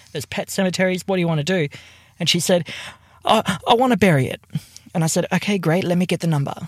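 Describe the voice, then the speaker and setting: A man with an Australian accent talks at a very fast pace in a high voice with ordinary pitch variation, leaving long, frequent pauses. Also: dry, close sound with no echo. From Tasmania, Australia. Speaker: podcast co-host. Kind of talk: casual chat. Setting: in a car.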